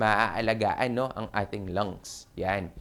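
A plain, everyday voice from a man, at a fairly slow pace with ordinary pitch variation, on a very clean recording with a silent background. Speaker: doctor and health show host. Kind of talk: health talk monologue. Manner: casual, filler-heavy.

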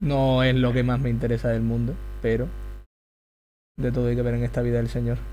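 A man with an Extremaduran accent speaks at a fairly quick pace, taking long, frequent pauses, with audible room echo. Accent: Extremaduran Spanish, aspirated h. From Extremadura, Spain. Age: 20s. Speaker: youtuber. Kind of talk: live stream chat while drawing.

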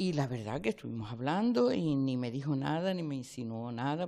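A woman with a very deep, low pitch and a dark, mellow tone talks at a fairly quick pace with lively intonation. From Canary Islands, Lanzarote (Arrecife); Canary Islands. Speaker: local politician. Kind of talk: news interview. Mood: surprised, earnest. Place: hall. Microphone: handheld.

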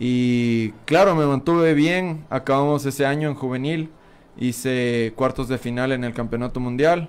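Here is a man with an unremarkable speaking voice and a medium pitch. He goes at a fairly slow pace with ordinary pitch variation. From Ecuador, Pichincha (Quito area). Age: 20s. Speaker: BMX racer; guest. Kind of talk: interview. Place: studio. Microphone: studio mic.

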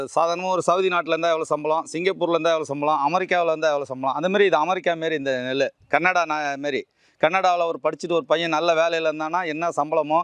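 A man with an unremarkable speaking voice and a fairly high pitch talks over a quiet background. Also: fairly even intonation. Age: 50s. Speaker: organic farmer. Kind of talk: casual explanatory talk.

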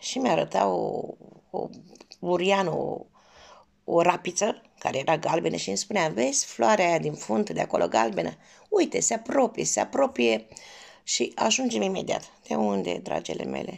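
A woman at a moderate pace over a quiet background. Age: 50s. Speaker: cooking vlogger. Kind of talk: personal storytelling. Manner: warm, affectionate. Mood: warm, nostalgic. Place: home room. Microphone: phone near.

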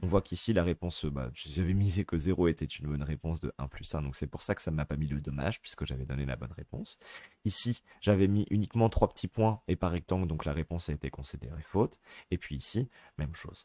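A man speaks at a fairly quick pace in a very deep, low pitch with vocal fry. The sound is dry and close, without echo. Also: ordinary pitch variation. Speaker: teacher. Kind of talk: tutorial. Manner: hesitant, many fillers.

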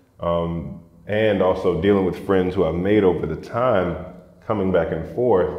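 A man with a very deep, low pitch talks at a moderate pace with fairly even intonation. The background is quiet, though audible room echo surrounds the voice. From US South, Atlanta, Georgia. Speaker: journalist and documentary filmmaker; journalist. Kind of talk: casual interview. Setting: co-working space. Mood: calm, reflective. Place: office. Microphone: lapel.

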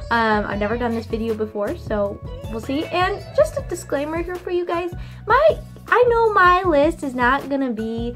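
Faint music plays in the background as a woman speaks. Her pace is moderate. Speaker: vlogger. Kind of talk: casual vlog chat. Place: home room. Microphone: webcam.

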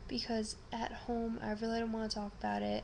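This woman speaks at a moderate pace over light background noise. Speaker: vlogger. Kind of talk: casual vlog chat. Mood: subdued but grateful. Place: home room. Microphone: webcam.

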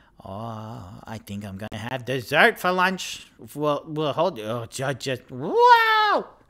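Putting on a character voice, a man speaks at a very slow pace and a medium pitch with lively intonation. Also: big swings in loudness. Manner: brash, touchy, streetwise.

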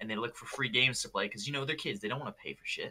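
A man with an American accent. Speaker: YouTuber. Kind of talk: casual chat.

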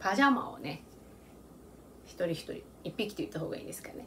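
A woman's medium-pitched voice makes big pitch swings while she speaks at a fairly slow pace.

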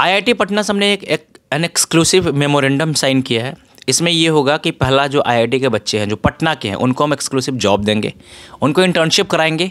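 With a Bihari accent, a man speaks at a moderate pace. His pitch is fairly high, and his intonation is lively. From Bihar, India. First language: Bhojpuri (speaking Hindi). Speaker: author and tech entrepreneur; guest. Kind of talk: interview. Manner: Hindi-English code-switching. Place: home room. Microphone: handheld.

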